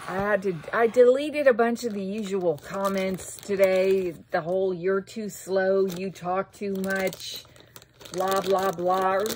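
The speaker talks at a very slow pace with an American accent. Intonation stays fairly even over light background noise. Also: woman. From US. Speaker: YouTuber doing shopping hauls. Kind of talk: casual unboxing vlog monologue. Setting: home recording at computer. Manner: loud. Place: home room. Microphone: phone near.

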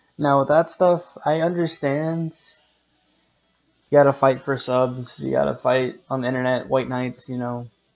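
A man speaks with fairly even intonation while faint music plays in the background. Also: moderate pace. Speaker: vlogger. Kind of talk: casual vlog chat. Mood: exasperated commentary on drama. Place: home room. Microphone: webcam.

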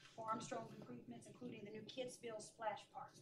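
A woman speaks at a fairly quick pace with ordinary pitch variation, and noticeable background noise can be heard. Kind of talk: reading agenda items at meeting. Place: meeting room.

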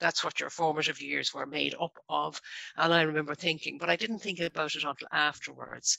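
A woman speaks at a fairly quick pace, the sound dry with no echo and the background quiet. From Ireland, Dublin. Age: 50s. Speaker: local government staff network founder; guest. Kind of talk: radio interview. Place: home room.

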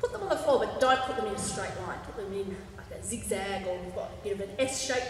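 A woman talks at a fast pace and medium pitch. Her intonation is lively, and audible room echo surrounds her.

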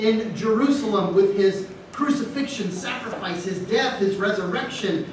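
Amid light background noise and audible room echo, a man talks at a fairly slow pace. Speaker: priest preaching. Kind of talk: sermon. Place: church.

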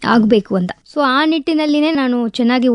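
This woman's voice sits high in pitch. The sound is dry and close, with no echo. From Tamil Nadu, India (Madurai). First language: Tamil (speaking Kannada). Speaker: district administrator (civil servant). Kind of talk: radio interview.

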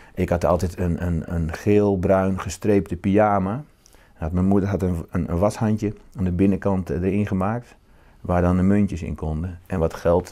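Against a quiet background, a man with a very deep, low pitch and a dark, mellow tone speaks at a moderate pace with fairly even intonation. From Netherlands, northern Brabant. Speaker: novelist. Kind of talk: interview. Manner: halting, repeats words. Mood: calm, reflective. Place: home room. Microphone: lapel.

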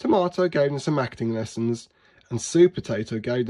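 Lively intonation in an unforced reading voice.

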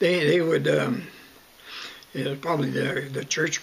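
A man speaks at a moderate pace with a Canadian prairie accent. Light background noise can be heard. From Southern Alberta, Canada. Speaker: retired farmer, oral history interviewee. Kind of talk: oral history interview answer. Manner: hesitant, halting. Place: home room. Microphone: webcam.

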